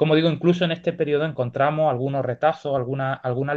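A man speaks at a fairly high pitch in a flat monotone. The background is quiet. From Spain, Granada (Andalusia); Andalusia, Spain. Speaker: university lecturer, archaeologist. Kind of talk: Q&A discussion; academic lecture. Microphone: video call.

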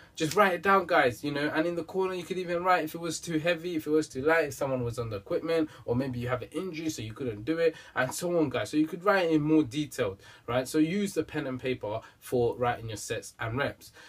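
A man talks at a very fast pace. His pitch varies an ordinary amount. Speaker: fitness vlogger. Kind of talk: casual vlog advice. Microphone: camera far.

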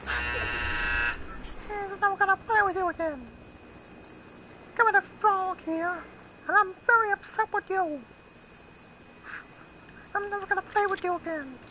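A woman uses a put-on character voice, whiny and extremely high in pitch. She speaks at a fairly slow pace with long, frequent pauses over clear background noise. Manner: upset, whiny.

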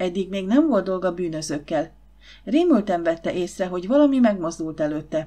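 The speaker uses a natural reading voice. That voice carries the whole clip.

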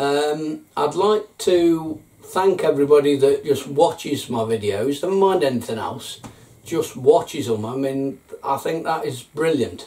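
The intonation here is lively. A male speaker delivers it at a fairly slow pace. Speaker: gardening vlogger. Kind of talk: casual vlog intro. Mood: warm, grateful. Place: home room.

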